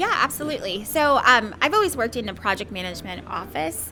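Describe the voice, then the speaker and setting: A woman with a Midwestern accent talks at a fairly quick pace as music plays in the background. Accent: American Midwest. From Somalia, raised in Ohio from childhood. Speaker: IT project manager. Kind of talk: podcast interview.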